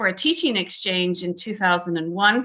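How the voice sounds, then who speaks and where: This woman has a normal speaking voice with a Canadian accent, medium pitch, ordinary pitch variation and a moderate pace. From Canada, small town in Alberta. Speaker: curling federation president. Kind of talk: panel discussion. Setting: video call.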